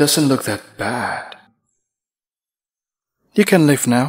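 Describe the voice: This man uses a put-on character voice with a slightly husky edge. He speaks at a very slow pace with lively intonation. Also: medium pitch for a man.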